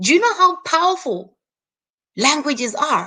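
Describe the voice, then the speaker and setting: A woman's raised, projected voice with a Zimbabwean accent, bright and sharp in tone, animated, with very wide pitch swings. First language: Shona. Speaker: YouTube host. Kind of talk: live stream monologue. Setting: live stream.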